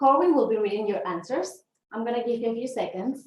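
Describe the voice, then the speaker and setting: Lively intonation with a Venezuelan accent at a fairly quick pace. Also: woman. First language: Spanish. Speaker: leadership development consultant. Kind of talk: webinar presentation. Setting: online webinar.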